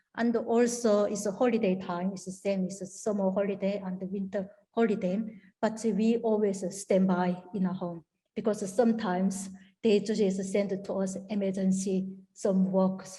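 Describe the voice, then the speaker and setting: Monotone, flat intonation at a moderate pace. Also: woman, medium pitch for a woman. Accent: strong Korean. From North Korea. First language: Korean. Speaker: North Korean defector. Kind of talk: interview answer.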